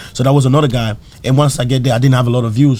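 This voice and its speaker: This man's voice has a dark, mellow tone and is somewhat breathy. He speaks at a very fast pace. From Africa. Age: 20s. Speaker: comedian. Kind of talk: casual chat. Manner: animated.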